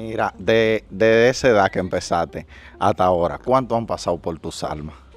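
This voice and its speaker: Moderate pace, ordinary pitch variation, and a dry sound with no echo. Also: man, fairly low pitch for a man. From Dominican Republic. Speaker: YouTuber. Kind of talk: casual interview. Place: street. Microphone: handheld.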